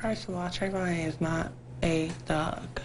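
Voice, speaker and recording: Amid noticeable background noise and audible room echo, a woman speaks at a fairly slow pace with a fairly low pitch and fairly even intonation. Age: young. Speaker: trial witness. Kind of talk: tv interview.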